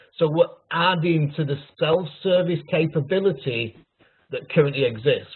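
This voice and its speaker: At a fairly slow pace, a man with a Yorkshire accent and a fairly high pitch talks with ordinary pitch variation. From Yorkshire, northern England. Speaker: technical pre-sales consultant. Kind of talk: webinar product demo. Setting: online webinar.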